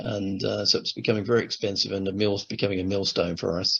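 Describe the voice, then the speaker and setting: A man with a southern English accent talks at a very fast pace. His pitch is fairly low. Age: 60s. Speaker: retired airline manager. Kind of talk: interview testimony. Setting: on-camera interview. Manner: hesitant, with fillers.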